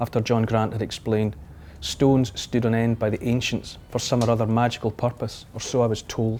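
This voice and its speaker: This man has a Scottish accent and a medium pitch. He talks at a fairly quick pace in a dark, mellow tone. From Scotland. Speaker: author and TV presenter. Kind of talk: audiobook-style fiction reading.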